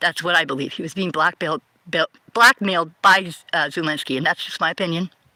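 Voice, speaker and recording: In an American accent, a woman talks at a fairly quick pace with a fairly low pitch, a bright, sharp tone and ordinary pitch variation, recorded dry and close with no echo. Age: 50s. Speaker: livestreamer. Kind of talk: political monologue. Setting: livestream. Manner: halting.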